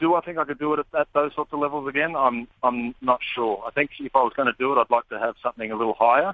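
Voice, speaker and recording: This man talks at a fairly quick pace. His intonation stays fairly even. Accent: Australian. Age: 30s. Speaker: baseball pitcher. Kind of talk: interview. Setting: phone call.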